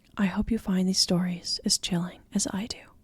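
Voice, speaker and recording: At a moderate pace, a woman speaks somewhat breathily at medium pitch with fairly even intonation. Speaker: horror story narrator. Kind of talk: casual talk to camera.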